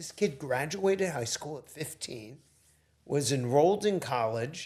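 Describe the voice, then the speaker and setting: This man's pitch swings very widely while he speaks at a fairly slow pace. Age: 60s. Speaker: entrepreneur. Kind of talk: casual interview.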